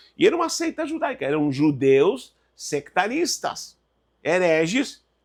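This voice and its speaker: Speaking in a Spanish accent, a man uses a high pitch and very wide pitch swings. His tone is animated and his pace fairly slow. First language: Spanish (speaking Portuguese). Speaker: Bible teacher. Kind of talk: lecture.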